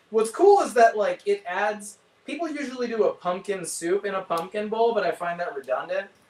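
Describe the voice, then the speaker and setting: High-pitched speech from a man, ordinary in its pitch variation, with noticeable background noise. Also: moderate pace. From San Francisco Bay Area. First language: Spanish. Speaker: chef. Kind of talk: casual chat.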